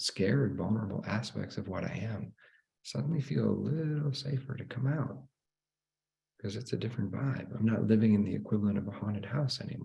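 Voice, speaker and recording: A man talks at a fairly quick pace with lively intonation. His tone is dark and mellow, with vocal fry. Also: fairly low pitch for a man. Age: 40s. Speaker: spiritual teacher. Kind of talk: live online teaching.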